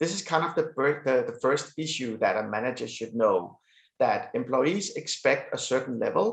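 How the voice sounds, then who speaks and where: Against a quiet background, a man with a Danish accent speaks at a moderate pace. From Denmark. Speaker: business executive. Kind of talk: interview. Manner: hesitant, many fillers.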